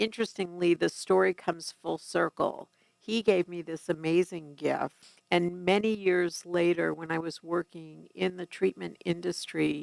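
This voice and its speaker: A woman with an American accent has an unremarkable speaking voice, fairly low pitch and fairly even intonation, speaking at a fairly slow pace in a dry, close sound with no echo. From New York City. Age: 60s. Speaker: family addiction consultant. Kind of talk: interview.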